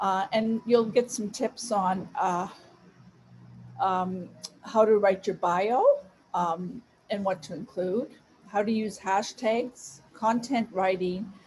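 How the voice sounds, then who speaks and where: A woman's somewhat breathy voice at a very slow pace, with long, frequent pauses. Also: medium pitch for a woman, ordinary pitch variation. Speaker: social media influencer giving a talk. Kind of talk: presentation. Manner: deliberately slow.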